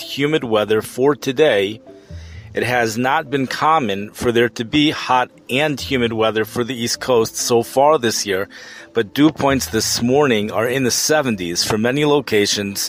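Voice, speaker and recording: A man's medium-pitched voice with ordinary pitch variation at a fairly slow pace, music in the background. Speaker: weather podcast host. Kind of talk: weather podcast narration.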